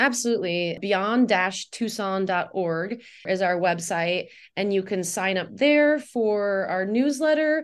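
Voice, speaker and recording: A woman speaks with a plain, everyday voice at medium pitch. Her intonation is lively and her pace fairly slow. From Indiana, US Midwest. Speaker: nonprofit executive director. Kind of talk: radio interview.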